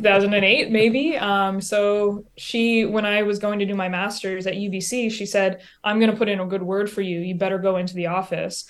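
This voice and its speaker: This is an ordinary speaking voice, moving at a moderate pace with fairly even intonation and hardly any pauses. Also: woman, medium pitch for a woman. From New Brunswick, Canada (Sussex). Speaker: basketball coach. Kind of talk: interview. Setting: video call.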